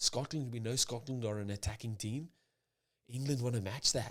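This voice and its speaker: A man's quiet whispering at a moderate pace, with music in the background. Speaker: rugby commentator / pundit. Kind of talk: casual rugby preview talk to camera. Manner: quiet, almost whispered.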